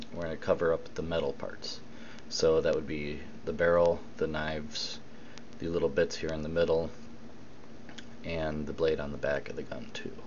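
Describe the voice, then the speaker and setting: With audible room echo and noticeable background noise, a man speaks at a moderate pace, leaving long, frequent pauses. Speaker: miniature painting hobbyist. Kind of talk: tutorial. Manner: loud.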